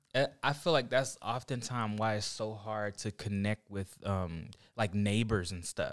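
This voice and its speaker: This is a plain, everyday voice, a man with an American accent speaking at a fairly slow pace, fairly low in pitch with ordinary pitch variation, on a very clean recording with a silent background. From Oklahoma. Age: 30s. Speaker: graphic designer and church young adult leader. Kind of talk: casual chat.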